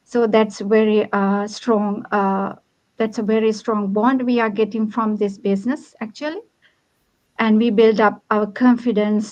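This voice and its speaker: With a Sri Lankan accent, a woman speaks at a fairly slow pace in a flat monotone with a fairly high pitch. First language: Sinhala. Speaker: online business owner. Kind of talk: livestream panel chat. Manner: hesitant, many fillers.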